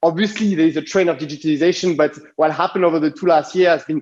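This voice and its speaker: This man speaks with a strong French accent. His pitch is high and varies in an ordinary way. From France. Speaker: design consultancy CEO. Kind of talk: conference talk. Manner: halting, many fillers.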